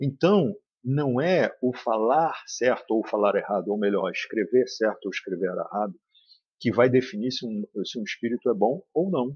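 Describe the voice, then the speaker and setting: Lively in intonation, a man speaks at a moderate pace with a medium pitch. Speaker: spiritist study leader. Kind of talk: lecture. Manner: serious.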